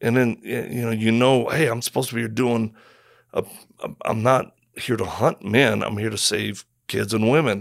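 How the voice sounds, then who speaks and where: Man at medium pitch with vocal fry, fairly even intonation and a moderate pace, in a very clean recording with a silent background. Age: 50s. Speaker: missionary and former Marine. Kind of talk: interview. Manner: halting.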